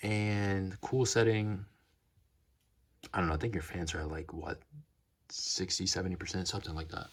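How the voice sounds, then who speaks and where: Long, frequent pauses break up a man's very deep, low voice with fairly even intonation. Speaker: tech reviewer. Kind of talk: casual product review. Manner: fast; stuttering, halting.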